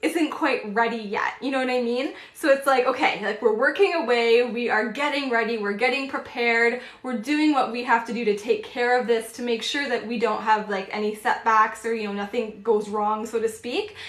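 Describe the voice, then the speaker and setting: Speech runs with hardly any pauses over noticeable background noise, with audible echo from the room. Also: woman. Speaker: tarot reader. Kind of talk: live-stream tarot reading. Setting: live stream. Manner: fast.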